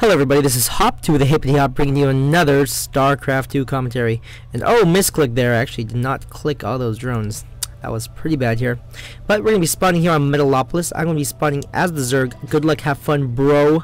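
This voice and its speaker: Very fast male speech in an American accent, fairly high in pitch with ordinary pitch variation, with music in the background. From US, Korean American. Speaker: video game commentator. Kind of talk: gameplay commentary. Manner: casual, fast, some stumbling.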